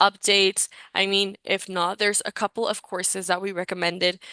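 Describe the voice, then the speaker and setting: With a Spanish accent, a woman speaks at a fairly quick pace in a medium pitch, with fairly even intonation and a bright, sharp tone. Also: quiet background. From Mexico. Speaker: recruitment session host. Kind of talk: live webinar presentation. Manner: casual, filler-heavy.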